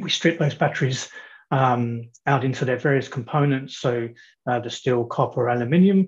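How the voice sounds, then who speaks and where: Against a quiet background, a man with an Australian accent sounds somewhat breathy, speaking at a moderate pace with ordinary pitch variation. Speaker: company CFO. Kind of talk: company presentation. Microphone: video call.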